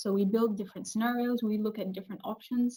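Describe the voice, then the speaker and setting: Somewhat breathy and dark, mellow in tone, a woman's medium-pitched voice holds fairly even intonation. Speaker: researcher presenting project results. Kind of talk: webinar presentation. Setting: online webinar.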